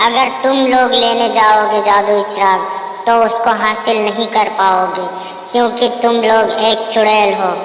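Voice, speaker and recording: A cartoonish character voice, female-sounding and fairly high-pitched for a woman, at a fairly slow pace with a clear echo. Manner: pleading.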